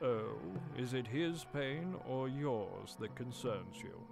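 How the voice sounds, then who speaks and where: Over clear background noise, a man uses a cartoonish character voice at medium pitch, speaking at a fairly slow pace. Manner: curt, formal.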